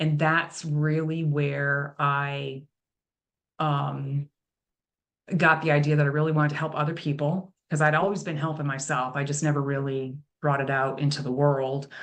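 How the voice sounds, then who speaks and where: Her pitch very deep and low, a woman speaks at a moderate pace in a monotone, flat intonation. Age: 60s. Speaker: nutrition and lifestyle coach. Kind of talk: interview conversation.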